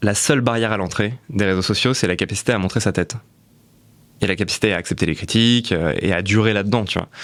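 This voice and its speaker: On a very clean recording with a silent background, a man talks at a very fast pace, his fairly low pitch moving with ordinary variation. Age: 20s. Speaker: content creator and entrepreneur. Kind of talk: podcast interview. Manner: casual, with many fillers.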